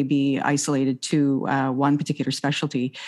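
A woman with a very deep, low pitch talks at a moderate pace. She has a slight Maritime Canadian accent. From Nova Scotia, Canada. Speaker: doctor, emergency and family practice. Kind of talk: interview conversation about chronic pain.

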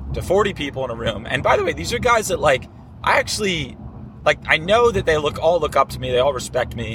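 A man's animated tone at a fairly quick pace, noticeable background noise behind it. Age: 20s. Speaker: podcast host. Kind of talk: casual monologue. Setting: in a car.

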